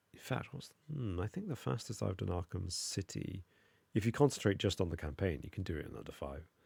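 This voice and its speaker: A mumbling man with a very deep, low pitch, vocal fry and very wide pitch swings, at a fairly quick pace, in a very clean recording with a silent background. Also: big swings in loudness. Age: adult. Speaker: gaming streamer. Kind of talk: live stream gameplay commentary.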